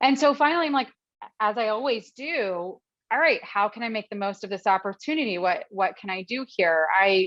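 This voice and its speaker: This woman has a fairly high pitch and speaks at a moderate pace. Her tone is animated and her intonation lively. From Philadelphia. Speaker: actress and host. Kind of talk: interview storytelling.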